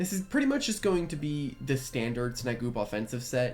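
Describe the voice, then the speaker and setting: The speech is quiet, with music playing in the background. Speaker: gaming youtuber. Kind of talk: gameplay commentary. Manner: quiet, subdued; casual, filler-heavy.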